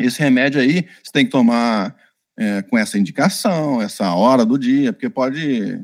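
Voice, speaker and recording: A normal speaking voice belongs to a man with a medium pitch and ordinary pitch variation. He keeps a moderate pace in a very clean recording with a silent background. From Brazil, Minas Gerais / Rio de Janeiro. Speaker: UX designer and author. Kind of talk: interview.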